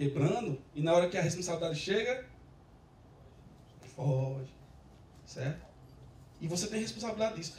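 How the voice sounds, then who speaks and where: Audible room echo surrounds a man's high-pitched voice and its lively intonation. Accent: Rio Grande do Norte. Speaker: software developer, conference speaker. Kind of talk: tech conference talk. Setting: stage with audience. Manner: casual, joking with audience.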